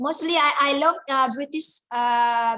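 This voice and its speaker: In a raised, projected voice, a woman speaks at a high pitch with a bright, sharp tone and monotone, flat intonation. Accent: Indonesian. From Java, Indonesia. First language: Indonesian. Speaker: guest lecturer. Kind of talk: lecture Q&A. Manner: halting, many fillers.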